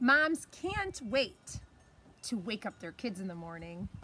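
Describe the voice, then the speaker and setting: Light background noise behind a woman speaking. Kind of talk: children's story read-aloud. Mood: warm, playful. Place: garden. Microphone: phone near.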